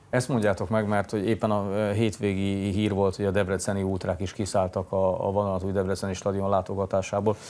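The delivery is fairly quick and monotone, with flat intonation, very even loudness and hardly any pauses. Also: man, fairly low pitch for a man. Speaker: morning TV sports show host. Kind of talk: studio interview. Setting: TV studio. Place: studio.

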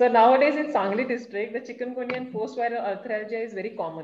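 Light background noise and audible room echo surround a fairly quick delivery with ordinary pitch variation. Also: woman. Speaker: webinar co-moderator. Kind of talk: Q&A moderation. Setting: video call. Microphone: video call.

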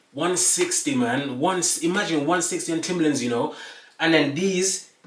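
A man with a high-pitched voice speaks amid audible room echo. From Birmingham, UK. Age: 20s. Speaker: fashion YouTuber. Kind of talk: casual talk to camera. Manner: upbeat, energetic. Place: home room. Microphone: camera far.

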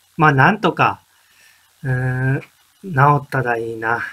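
Pitch variation is ordinary in this man's speech. He keeps a moderate pace. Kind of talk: casual vlog chat. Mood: puzzled, mildly frustrated. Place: home room. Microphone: webcam.

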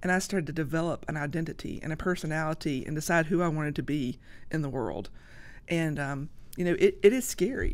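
Talking at a fairly quick pace, a woman uses a very deep, low pitch. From US South, Georgia. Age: 50s. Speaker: social media creator; podcast guest. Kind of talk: casual chat. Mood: earnest, emotional at times. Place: studio. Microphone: studio mic.

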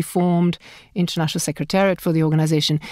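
An unremarkable speaking voice from a woman, fairly low in pitch with fairly even intonation, in a dry, close sound with no echo on a very clean recording with a silent background. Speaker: startup founder and entrepreneur. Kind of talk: interview conversation.

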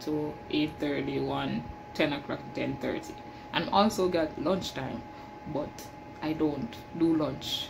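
A woman speaks very slowly, with background noise clearly noticeable. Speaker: janitor vlogger. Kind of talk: casual vlog chat. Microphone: phone near.

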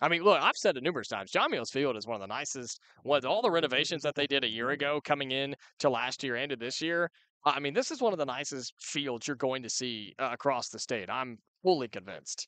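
A man's fairly high-pitched voice, bright and sharp in tone, with ordinary pitch variation, at a fairly quick pace, dry and close with no echo. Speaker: radio play-by-play announcer. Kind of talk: live sports radio commentary. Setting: radio broadcast from baseball field.

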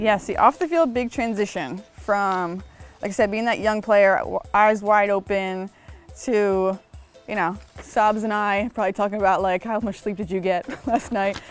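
A woman at a moderate pace with ordinary pitch variation, dry sound with no echo, faint music in the background. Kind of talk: interview answer. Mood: relaxed, reflective, light humor. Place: garden. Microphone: lapel.

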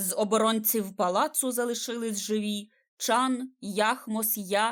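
Quiet background, fairly even intonation, and reading aloud in a natural voice

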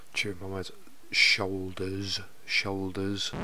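With a British accent, the speaker goes at a fairly slow pace in a monotone, flat intonation. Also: man. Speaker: fiction narrator. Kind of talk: audiobook narration with flubbed takes. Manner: flustered, repeating words after stumbles, swearing.

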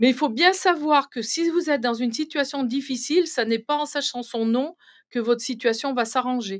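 A woman with a high pitch at a moderate pace, against a quiet background. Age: 60s. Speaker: medium; guest. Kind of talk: interview. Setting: live stream studio. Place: studio. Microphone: studio mic.

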